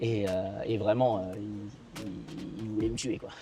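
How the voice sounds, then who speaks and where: Ordinary pitch variation marks the man's speech at a moderate pace. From Thailand (Hua Hin), half Thai half Belgian. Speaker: interviewee, half-Thai resident of Thailand. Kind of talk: interview. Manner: halting, many hesitations.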